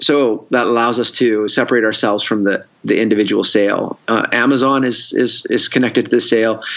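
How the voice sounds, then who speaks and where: With a Canadian accent, a man talks at a moderate pace and medium pitch, his loudness very even and his intonation monotone and flat. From Canada, Victoria. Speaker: entrepreneur and investor. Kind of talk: casual interview.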